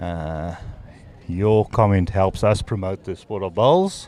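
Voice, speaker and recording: This man has a fairly low voice with ordinary pitch variation and an Afrikaans accent. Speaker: sports commentator. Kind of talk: live commentary. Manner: halting.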